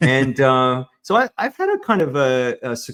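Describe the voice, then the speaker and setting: With an Australian accent, a man speaks at a fairly slow pace and a medium pitch. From Australia, Sydney. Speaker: executive advisor and business consultant. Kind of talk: interview podcast.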